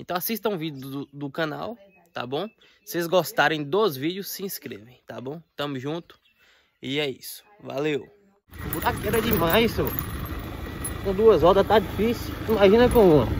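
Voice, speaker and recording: A man talks in a high pitch with lively intonation and an animated tone, his loudness swinging widely. The sound is dry with no echo, there is noticeable background noise, and he takes long, frequent pauses. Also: moderate pace. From Brazil. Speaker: motovlogger. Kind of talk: motovlog narration while riding. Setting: outdoors on a motorcycle, wearing a helmet. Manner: casual, animated.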